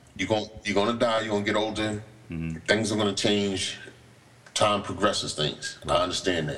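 A man with an American accent talks at a fairly quick pace and fairly low pitch, with ordinary pitch variation. Noticeable background noise and audible room echo are present. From Morristown, New Jersey. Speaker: comedian and podcast co-host. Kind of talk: casual chat. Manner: animated.

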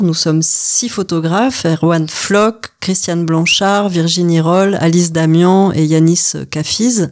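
A woman's calm tone at a fairly low pitch, over noticeable background noise. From Paris region, France. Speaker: photographer. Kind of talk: interview. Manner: halting.

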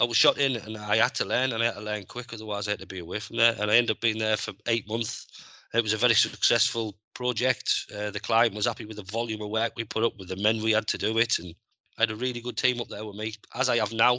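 In a Teesside accent, a man talks at a very fast pace with a medium pitch and monotone, flat intonation. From northeast England, Middlesbrough. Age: 40s. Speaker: scaffolding supervisor. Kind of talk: interview.

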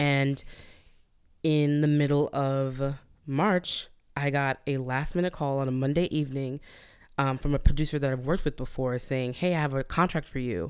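A woman with a very deep, low voice and fairly even intonation speaks at a moderate pace on a very clean recording with a silent background. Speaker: performer. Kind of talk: casual chat. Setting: studio.

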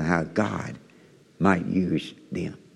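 A man speaks with a Kentucky accent. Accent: Southern US (Kentucky). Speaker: missionary preacher. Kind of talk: sermon. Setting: church.

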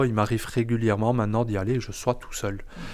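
This man's voice sits at a medium pitch. His intonation stays flat and monotone. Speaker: chef and restaurant owner. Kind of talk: interview. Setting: in his restaurant kitchen.

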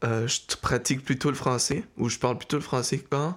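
A man speaks at a moderate pace with vocal fry, in a very clean recording with a silent background. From Mexico. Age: 30s. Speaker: interviewee, family member. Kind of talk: interview.

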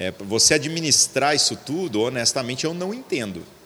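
Noticeable background noise surrounds a man talking at a moderate pace. His pitch is fairly high. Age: 40s. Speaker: pastor. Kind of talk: casual chat. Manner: slangy, informal.

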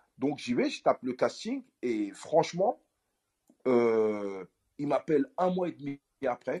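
A man with a dark, mellow tone and medium pitch speaks with lively intonation in a dry, close sound with no echo. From France, Paris suburbs (Aulnay-sous-Bois). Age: 40s. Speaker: actor. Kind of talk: interview. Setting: audio app live room.

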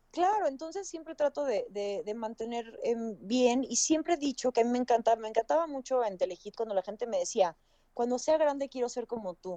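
A woman's high, dark, mellow voice with lively intonation and a fairly quick pace, dry and close with no echo. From Puebla, Mexico. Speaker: actress and TV presenter. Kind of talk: casual chat.

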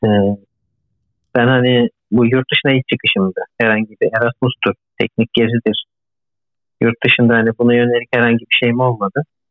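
A man speaks at a moderate pace in a monotone with flat intonation, very even loudness, and long, frequent pauses. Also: medium pitch for a man. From Turkey, Izmir. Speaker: postdoctoral researcher, engineer. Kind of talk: interview.

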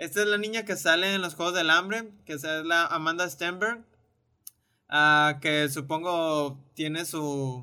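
Speaking at a very slow pace, the man has a high pitch, a bright, sharp tone and ordinary pitch variation. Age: 20s. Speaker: podcast co-host, film commentator. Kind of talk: casual chat.

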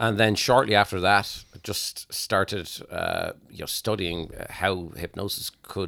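Fairly low-pitched man with an Irish accent, bright, sharp tone and fairly even intonation, dry and close with no echo, very clean recording over a silent background. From Ireland. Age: 40s. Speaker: hypnotist. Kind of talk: casual chat.

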